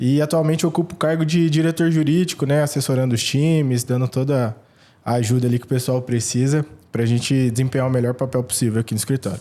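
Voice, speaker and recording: Very fast and at very even loudness, a man speaks at medium pitch with ordinary pitch variation and a dark, mellow tone. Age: 30s. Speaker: lawyer. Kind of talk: self-introduction on podcast.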